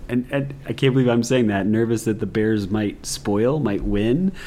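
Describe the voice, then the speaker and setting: A man's voice over noticeable background noise. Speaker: sports podcast host. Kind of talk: casual chat. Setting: in person, same room.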